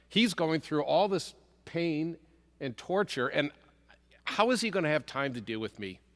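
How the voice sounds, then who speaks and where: With a bright, sharp tone, a man talks at a moderate pace, his pitch swinging very widely, in a very clean recording with a silent background. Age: 60s. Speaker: congregant sharing a covid survival story. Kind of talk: testimony.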